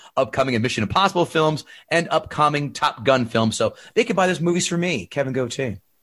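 At a fairly quick pace, a man speaks in an animated, bright, sharp tone with medium pitch and lively intonation. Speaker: podcast host. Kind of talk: casual chat.

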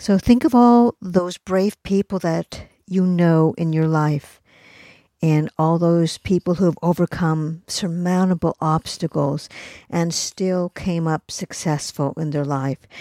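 A woman speaks at a very slow pace in a dark, mellow tone, with fairly low pitch and ordinary pitch variation. The sound is dry and close with no echo, and the recording is very clean over a silent background. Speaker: podcast host. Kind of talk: pep talk. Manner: earnest, encouraging.

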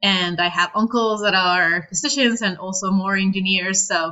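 A woman with a Spanish accent speaks with fairly even intonation. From northern Mexico, Reynosa. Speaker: PhD student in biomedical engineering. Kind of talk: interview.

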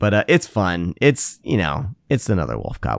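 A man with an American accent speaks at a moderate pace in a very deep, low voice, his pitch swinging very widely and dipping into vocal fry, on a very clean recording with a silent background. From Iowa, US Midwest. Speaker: horror podcast host. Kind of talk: casual chat.

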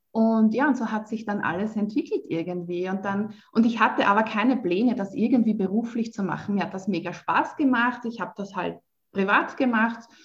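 A woman speaks in a fairly high, somewhat breathy voice with ordinary pitch variation. She barely pauses at all. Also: moderate pace. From Lower Austria. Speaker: spiritual coach. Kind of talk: interview.

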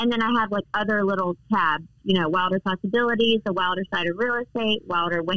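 With very even loudness and hardly any pauses, a woman talks very fast at a medium pitch. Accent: American. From North Carolina, Charlotte. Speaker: real estate agent. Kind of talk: interview. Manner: animated.

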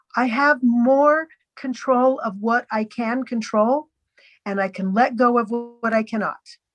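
With music in the background, a woman speaks at a fairly slow pace in a high voice with ordinary pitch variation. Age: 60s. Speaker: podcast guest sharing eating disorder recovery story. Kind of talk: testimony. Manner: halting.

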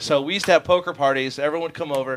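A man speaks in an animated tone. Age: 20s. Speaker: motocross podcast co-host. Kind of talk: casual chat.

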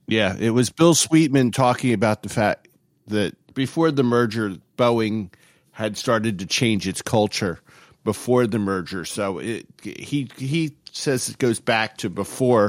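The speaker has an ordinary speaking voice with ordinary pitch variation at a fairly slow pace. The recording is very clean, with a silent background. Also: man, medium pitch for a man. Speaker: aviation historian.

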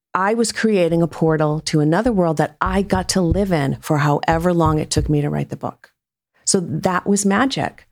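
A woman with an American accent talks at a moderate pace, her pitch fairly low with ordinary pitch variation, in an unremarkable speaking voice. The recording is very clean, with a silent background. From US Northeast, Rhode Island. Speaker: fiction author. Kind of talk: casual interview chat.

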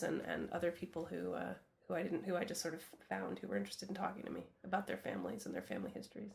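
Vocal fry runs through this woman's voice, heard in an American accent. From Vermont, US. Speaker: actor and writer. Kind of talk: interview.

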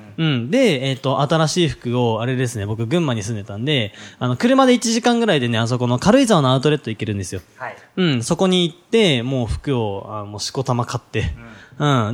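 A man's medium-pitched voice moves at a fairly quick pace with very wide pitch swings. The recording is very clean, with a silent background. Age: 20s. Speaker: podcast host, business coach. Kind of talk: casual chat.

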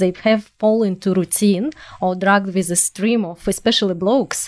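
With a strong non-native accent, a woman speaks at a medium pitch and moderate pace. Her pitch varies in an ordinary way, and the recording is very clean with a silent background. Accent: strong foreign. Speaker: podcast co-host. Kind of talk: interview.

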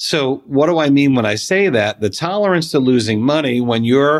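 A man with a plain, everyday voice speaks at medium pitch and a fairly slow pace. His intonation is lively, and the recording is very clean with a silent background. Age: 40s. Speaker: financial advisor. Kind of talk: casual chat.

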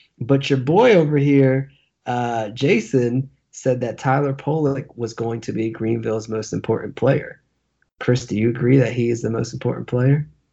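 At a moderate pace, a man with a medium pitch speaks with fairly even intonation. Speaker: soccer podcast co-host. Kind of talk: casual banter, sports talk podcast.

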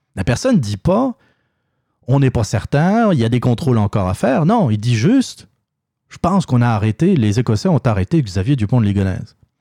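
With a Quebec accent, this voice has a dark, mellow tone, swings very widely in pitch, moves at a fairly quick pace, and sounds dry and close with no echo. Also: man, medium pitch for a man. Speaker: opinion podcast host. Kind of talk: solo opinion monologue. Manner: halting, many fillers and repetitions.

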